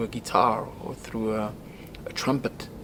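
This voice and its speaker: A man speaks at a fairly slow pace and a medium pitch, with noticeable noise in the background. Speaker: rock singer. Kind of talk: documentary interview.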